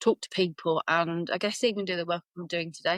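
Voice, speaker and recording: A woman at medium pitch with a Birmingham accent, in a dry, close sound with no echo. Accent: Birmingham (Brummie). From Birmingham, England. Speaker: business coach and consultant. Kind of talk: podcast interview.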